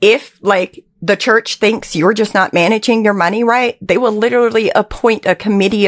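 A woman with an American accent speaks in an unremarkable speaking voice at a moderate pace, her intonation fairly even and the sound dry and close with no echo. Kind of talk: interview testimony.

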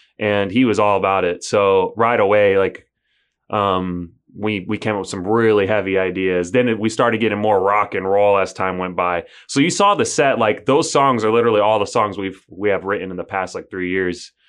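A man with an American accent and a normal speaking voice talks at a moderate pace, using a fairly low pitch and fairly even intonation against a quiet background. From United States. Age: 30s. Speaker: musician. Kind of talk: casual chat.

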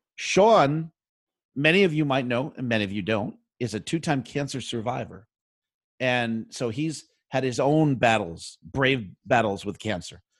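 Against a quiet background, a man with an ordinary speaking voice talks fairly slowly at medium pitch with lively intonation. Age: 50s. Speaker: DJ and podcast host. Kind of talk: casual chat.

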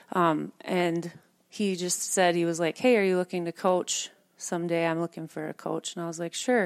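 With an unremarkable speaking voice, a woman talks at a moderate pace and fairly low pitch with fairly even intonation, in a dry, close sound with no echo on a very clean recording with a silent background. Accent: American. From Minnesota. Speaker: volleyball coach. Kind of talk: casual interview.

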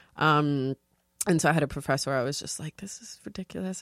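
On a very clean recording with a silent background, a woman with a New York accent speaks in a very deep, low voice, the sound dry and close with no echo. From New York, South Bronx. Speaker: TV production freelancer. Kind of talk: casual chat. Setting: studio.

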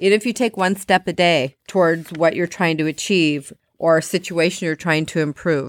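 A woman with a plain, everyday voice speaks at a moderate pace and a fairly low pitch, recorded very cleanly against a silent background with a dry, close sound and no echo. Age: 50s. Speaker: health and fitness podcast host and author. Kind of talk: solo motivational talk. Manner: warm, conversational.

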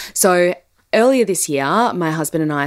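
The speaker has an Australian accent and a warm tone. The pace is moderate. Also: woman. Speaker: podcast host, business consultant. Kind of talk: solo podcast talk. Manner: warm, conversational with frequent laughs.

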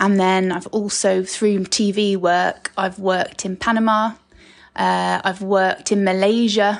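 Against a quiet background, a woman with a southern English accent speaks at medium pitch with monotone, flat intonation. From southern England (Sussex). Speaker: guest, host's stepdaughter. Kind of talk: casual interview.

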